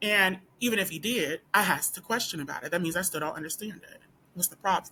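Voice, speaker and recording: Her bright, sharp tone moving at a very fast pace, a woman speaks with ordinary pitch variation and big swings in loudness. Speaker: law student and video blogger. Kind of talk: personal storytelling vlog.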